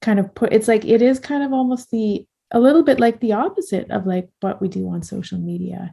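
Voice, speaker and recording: A woman speaks with a dark, mellow tone at a fairly high pitch, somewhat breathy. The recording is very clean, with a silent background. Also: ordinary pitch variation, fairly quick pace. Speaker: podcast host and artist. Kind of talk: casual chat. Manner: fast.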